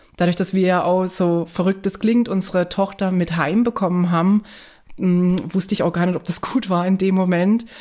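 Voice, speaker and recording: Here a woman speaks at a medium pitch and moderate pace. Her intonation is monotone and flat, her loudness very even. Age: 30s. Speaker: guest sharing fertility journey. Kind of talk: personal interview testimony.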